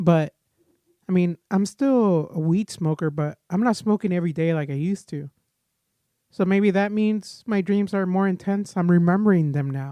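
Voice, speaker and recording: A man talks at a moderate pace in a high pitch with ordinary pitch variation. The sound is dry and close with no echo, over a quiet background. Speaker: podcaster. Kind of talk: casual monologue. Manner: rambling rants.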